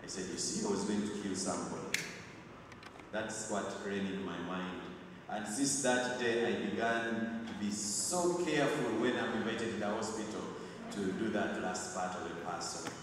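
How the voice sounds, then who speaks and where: With strong room echo and noticeable background noise, a man speaks at a fairly low pitch with ordinary pitch variation. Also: moderate pace. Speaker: clergyman preaching at funeral. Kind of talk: sermon. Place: church.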